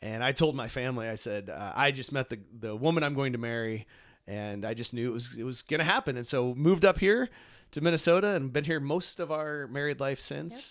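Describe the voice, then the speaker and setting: Fairly quick, lively speech from a man at a medium pitch with a US Midwestern accent, on a very clean recording with a silent background. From Ohio, US Midwest. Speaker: podcast host, grief ministry director. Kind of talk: casual conversation. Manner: fast; many fillers and repetitions.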